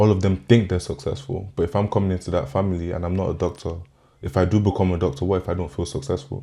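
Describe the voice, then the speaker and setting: A man talks very fast in a very deep, low voice with a dark, mellow tone. He sounds somewhat breathy against a quiet background. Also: ordinary pitch variation. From Nigeria. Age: 20s. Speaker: podcast guest, recent graduate. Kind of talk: interview conversation.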